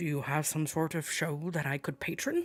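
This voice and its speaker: A man puts on a character voice, pitched fairly high and delivered at a moderate pace. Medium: actual play. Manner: boisterous, patronizing, warm.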